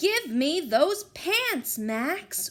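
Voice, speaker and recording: A woman does a put-on character voice at an extremely high pitch with very wide pitch swings. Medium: read story. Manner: bossy, confident.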